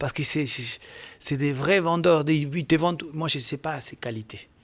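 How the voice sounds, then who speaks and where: A man with a Spanish accent and a fairly high pitch talks at a fairly slow pace with ordinary pitch variation. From Argentina. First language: Spanish (speaking French). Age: 50s. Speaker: football agent and former scout. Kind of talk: podcast interview. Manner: halting.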